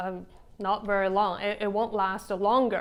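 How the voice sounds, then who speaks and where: Recorded very cleanly with a silent background, a woman speaks in a Chinese accent. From China. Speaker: vlogger. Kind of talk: casual vlog monologue. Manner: halting, many fillers.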